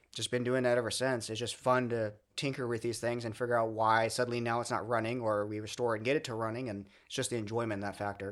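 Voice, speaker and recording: On a very clean recording with a silent background, a man with an American accent speaks at a medium pitch in a monotone, flat way. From Southern California (Redlands). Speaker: museum volunteer, streetcar restorer. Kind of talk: casual interview.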